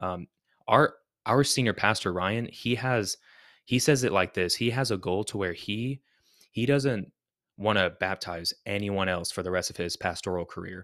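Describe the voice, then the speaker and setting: At a moderate pace, a man talks with a fairly low pitch and ordinary pitch variation. The recording is very clean and silent behind him, with a dry, close sound and no echo. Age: 30s. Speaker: co-host, church staff. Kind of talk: casual chat.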